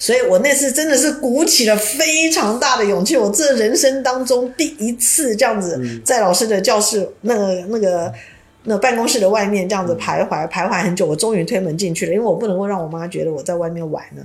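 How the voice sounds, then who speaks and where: With a Taiwanese accent, a woman speaks at a fairly quick pace in a fairly high pitch with very wide pitch swings, amid noticeable background noise and audible room echo. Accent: Taiwanese Mandarin. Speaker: university teacher. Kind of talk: interview conversation.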